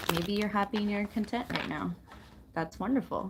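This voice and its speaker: Soft-spoken and calm in tone, a woman talks at a fairly quick pace. Noticeable background noise is present. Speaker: tarot reader and spiritual wellness channel host. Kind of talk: live tarot reading to camera, spiritual guidance. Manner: soft-spoken, calm.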